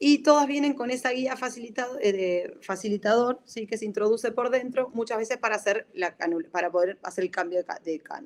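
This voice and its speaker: Lively intonation at a fairly quick pace. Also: woman, fairly high pitch for a woman. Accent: Argentine. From Argentina. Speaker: respiratory physiotherapist. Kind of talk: lecture. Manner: halting, many self-corrections.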